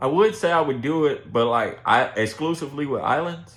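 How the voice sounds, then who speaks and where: A man talks with lively intonation at a moderate pace. His pitch sits fairly high. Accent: American. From Texas, Houston. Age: 20s. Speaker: streamer. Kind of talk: casual chat. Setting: livestream.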